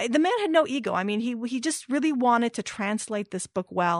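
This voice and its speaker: In a normal speaking voice, a woman with an American accent talks fairly quickly with ordinary pitch variation. The sound is dry and close with no echo, and the background is quiet. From Iran, raised in California. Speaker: author. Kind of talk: interview.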